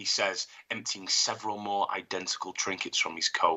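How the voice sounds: The clip features a natural reading voice.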